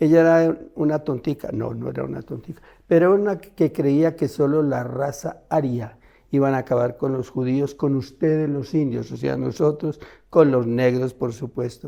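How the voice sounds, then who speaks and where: Here a man speaks in a dark, mellow tone at a moderate pace. His pitch sits fairly high, with ordinary variation. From Colombia, Armenia (coffee region). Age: 80s+. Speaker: photographer and adventurer. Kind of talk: interview storytelling.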